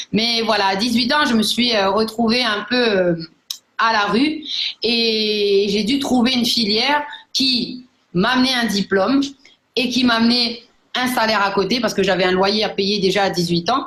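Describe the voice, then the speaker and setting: A woman's fairly high voice with ordinary pitch variation, a fairly slow pace, long and frequent pauses, very even loudness, and audible room echo. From New Caledonia. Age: 30s. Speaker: network marketing entrepreneur. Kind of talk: personal testimony. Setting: online live broadcast. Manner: hesitant, many fillers.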